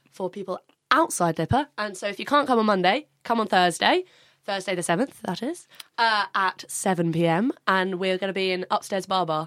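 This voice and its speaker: A woman with a southern English accent and lively intonation, in a dry, close sound without echo. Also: medium pitch for a woman, moderate pace. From Brighton, southern England. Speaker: charity fashion show organiser. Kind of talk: casual chat.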